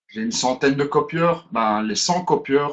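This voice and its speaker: A man with a Brussels accent, medium pitch, lively intonation and a fairly slow pace. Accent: Brussels Belgian French. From Belgium, Brussels. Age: 30s. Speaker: business presenter. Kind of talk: webinar presentation. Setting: online webinar. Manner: hesitant, with fillers.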